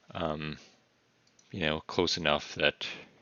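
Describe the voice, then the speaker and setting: Soft-spoken and mumbling, a man talks with a very deep, low pitch. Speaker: artist streamer. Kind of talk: casual live-stream commentary while drawing.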